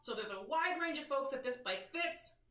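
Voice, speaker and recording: Loud and animated, this voice has lively intonation and a bright, sharp tone, heard with audible room echo. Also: woman. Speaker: motorcycle news show host. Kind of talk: live stream news show. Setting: live stream.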